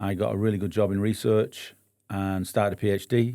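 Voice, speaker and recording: A man with a northern English accent speaks at a fairly low pitch in a dark, mellow tone. The recording is very clean with a silent background. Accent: northern English, non-local. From northern England, Bury, Lancashire near Manchester. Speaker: business owner, entrepreneur. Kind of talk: podcast interview. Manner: hesitant, many fillers.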